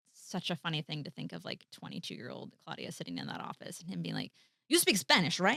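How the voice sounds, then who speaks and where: A woman speaks at a very fast pace with a bright, sharp tone and vocal fry. The sound is dry and close, with no echo. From US Midwest, Colombian family. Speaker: actor, writer and director. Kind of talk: casual interview chat. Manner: animated.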